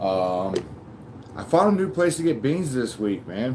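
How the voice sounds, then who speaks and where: Delivered at a fairly slow pace, the speech has very wide pitch swings. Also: man. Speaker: reptile keeper livestreamer. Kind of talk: live stream chat. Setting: live stream. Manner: casual, halting with fillers.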